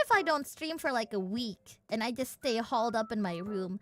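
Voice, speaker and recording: A bright, sharp tone moves at a fairly quick pace with very wide pitch swings. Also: woman. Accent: Indonesian. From Indonesia. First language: Indonesian. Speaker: virtual streamer. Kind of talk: casual chat. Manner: animated.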